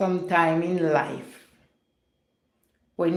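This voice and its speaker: In a Jamaican accent, a woman speaks at a very slow pace. Her pitch is very deep and low, and room echo is audible. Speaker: live-stream vlogger. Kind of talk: casual chat. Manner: chatty, conversational.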